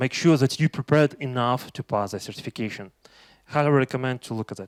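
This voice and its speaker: A man speaks with a Russian accent in a dry, close recording with no echo. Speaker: tech conference speaker. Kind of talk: conference talk. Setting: stage with audience. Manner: halting, many fillers.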